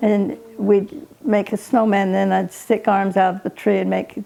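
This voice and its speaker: Over noticeable background noise, a woman with an American accent speaks at a moderate pace. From Utah, US. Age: 80s+. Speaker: elderly interviewee sharing life story. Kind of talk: family oral history interview. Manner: halting.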